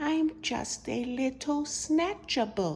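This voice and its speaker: In a put-on character voice, a female-sounding speaker mumbles at a very slow pace and a high pitch, with clear background noise behind her. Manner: mournful, mumbling.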